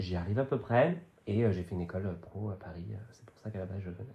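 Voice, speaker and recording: The voice moves at a fairly quick pace with ordinary pitch variation. Its tone is dark and mellow, and somewhat breathy. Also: man. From western France, Vendée countryside. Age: 30s. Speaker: actor and comedian. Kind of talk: casual podcast interview. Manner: hesitant, many fillers.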